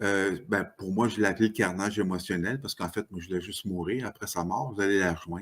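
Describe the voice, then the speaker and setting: The background is silent on this very clean recording. A man is talking. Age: 60s. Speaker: author. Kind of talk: podcast interview. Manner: halting.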